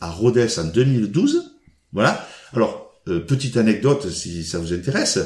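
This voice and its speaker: A man with an unremarkable speaking voice talks at medium pitch with lively intonation. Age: 60s. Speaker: badminton player and regional sports official. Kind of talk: casual interview.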